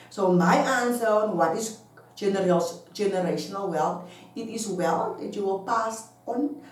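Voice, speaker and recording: A woman with a medium-pitched voice speaks at a moderate pace with lively intonation. Noticeable background noise and audible room echo surround her. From South Africa. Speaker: online business vlogger. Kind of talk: casual talk to camera. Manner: halting.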